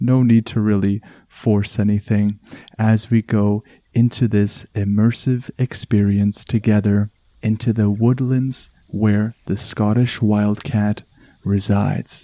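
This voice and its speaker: Speaking very slowly with a strong Canadian accent, a man uses a fairly low pitch, a calm, soothing, dark and mellow tone, monotone, flat intonation and very even loudness, on a very clean, dry, close recording with no echo and a silent background. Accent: thick Canadian. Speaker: podcast host. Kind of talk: relaxation podcast narration.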